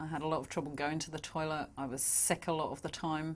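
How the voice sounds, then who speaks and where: A woman speaks with a London accent. Her pitch is very deep and low. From London, England. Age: 40s. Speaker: patient giving a testimonial. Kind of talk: testimonial interview answer.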